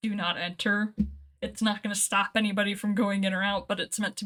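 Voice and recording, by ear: A text is read aloud, the voice staying natural throughout.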